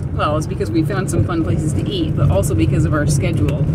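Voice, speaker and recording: A woman speaks against loud background noise. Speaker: van life vlogger. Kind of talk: casual vlog chat. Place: car. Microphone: phone near.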